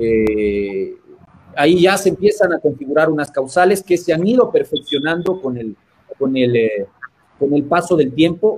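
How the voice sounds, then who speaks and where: A man's fairly high voice moves at a fairly slow pace. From Ecuador. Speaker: constitutional lawyer. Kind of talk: interview. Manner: halting.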